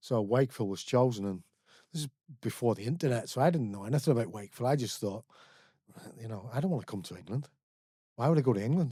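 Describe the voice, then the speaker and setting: With a Belfast accent, a man talks at a very fast pace, his medium-pitched voice dark and mellow in tone with lively intonation. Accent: Belfast Northern Irish. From Northern Ireland, Belfast. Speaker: recovering alcoholic, author and community educator. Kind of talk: podcast interview.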